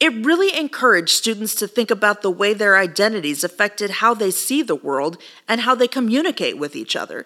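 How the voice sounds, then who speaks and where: At a fairly quick pace, a woman with an American accent speaks at a fairly high pitch with very wide pitch swings. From Texas. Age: 40s. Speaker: podcast host, rhetoric academic. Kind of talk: scripted solo podcast monologue.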